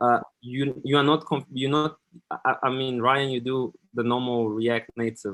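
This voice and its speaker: A man speaks at a fairly slow pace with a medium pitch. His intonation is monotone and flat. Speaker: software developer, conference speaker. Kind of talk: tech talk Q&A. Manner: halting, repeated words.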